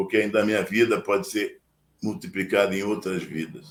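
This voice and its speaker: In an ordinary speaking voice, a man talks at a moderate pace. His intonation is lively. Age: 60s. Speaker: oratory teacher. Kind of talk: live stream talk.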